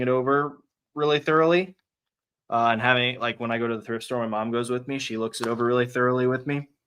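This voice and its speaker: A man speaks in a bright, sharp tone with fairly even intonation. The background is quiet. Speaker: online reseller and live streamer. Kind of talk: casual livestream chat while working. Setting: garage livestream.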